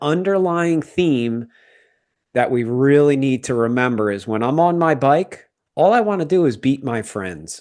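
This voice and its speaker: A man with a plain, everyday voice speaks at medium pitch and a moderate pace, with ordinary pitch variation. The background is quiet. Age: 50s. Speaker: podcast host. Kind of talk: casual chat.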